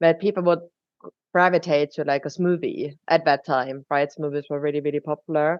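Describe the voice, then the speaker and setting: Here a woman with a German accent talks at a moderate pace. Her pitch is very deep and low, and her intonation is monotone and flat. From Germany. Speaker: drinks company co-founder. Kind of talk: podcast interview.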